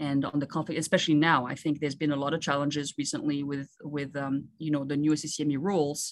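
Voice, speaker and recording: In a very clean recording with a silent background, a woman with a French accent speaks in a very deep, low pitch with monotone, flat intonation and hardly any pauses. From Ivory Coast. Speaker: surgeon. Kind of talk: interview.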